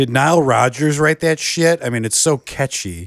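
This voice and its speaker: A man with an American accent and a normal speaking voice, moderate in pace with lively intonation, in a very clean recording with a silent background and a dry, close sound with no echo. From Michigan. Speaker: movie podcast co-host. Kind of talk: casual chat. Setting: in a house in Michigan.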